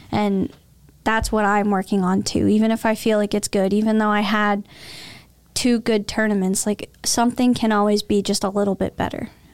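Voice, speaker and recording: At a moderate pace, a woman speaks at medium pitch in a monotone, flat intonation with very even loudness, in a very clean recording with a silent background. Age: 20s. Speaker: professional archer. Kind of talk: interview.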